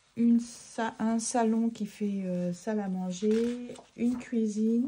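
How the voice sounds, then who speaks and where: A woman speaks at a fairly high pitch with fairly even intonation. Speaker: art therapy craft youtuber. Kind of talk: casual craft tutorial chat. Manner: hesitant, many fillers; no longer pushing voice, quieter than before.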